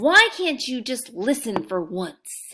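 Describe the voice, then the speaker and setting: Putting on a character voice, a female-sounding speaker projects loudly at a fairly slow pace, her high pitch swinging very widely. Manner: scolding, stern.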